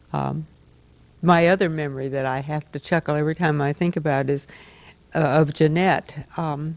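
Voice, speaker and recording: Speaking at a moderate pace, a woman with a very deep, low pitch keeps her intonation fairly even and leaves long, frequent pauses. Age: 60s. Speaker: church community member. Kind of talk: reminiscing at group gathering. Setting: group gathering after a meal. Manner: halting.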